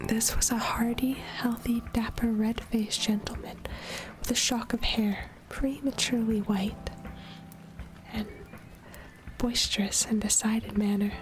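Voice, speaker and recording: A soft-spoken woman whispers at a fairly slow pace and very even loudness, with long, frequent pauses and noticeable background noise. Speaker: vtuber streamer. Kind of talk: ASMR audiobook reading of a classic novel. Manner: whispered, soft.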